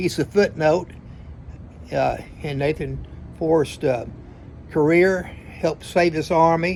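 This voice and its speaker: A man's fairly high voice in a Tennessee accent, fairly slow and fairly even in intonation, with long, frequent pauses. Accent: US Southern (Tennessee). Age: 70s. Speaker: retired attorney telling family history. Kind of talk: storytelling monologue. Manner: halting, many fillers.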